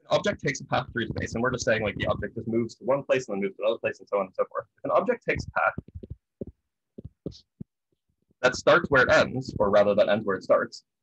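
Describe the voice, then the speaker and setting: A very fast pace with big swings in loudness, a dry sound with no echo and light background noise. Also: man. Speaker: physics lecturer. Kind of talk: lecture. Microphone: webcam.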